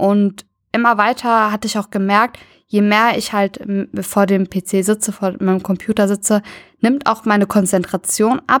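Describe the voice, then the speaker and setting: The sound is dry and close, with no echo, as a woman talks in a normal speaking voice. She keeps a medium pitch, fairly even intonation and a moderate pace. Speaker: university student. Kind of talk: casual interview.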